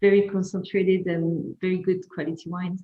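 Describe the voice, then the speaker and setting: A woman with a French accent, somewhat breathy, in a monotone, flat intonation. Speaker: winemaker. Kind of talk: wine tasting presentation. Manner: halting.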